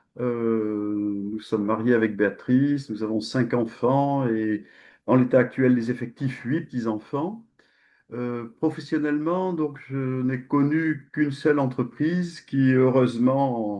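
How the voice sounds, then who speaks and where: The man speaks at a very slow pace. His medium-pitched voice shows ordinary pitch variation. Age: 60s. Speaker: company president. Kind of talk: interview.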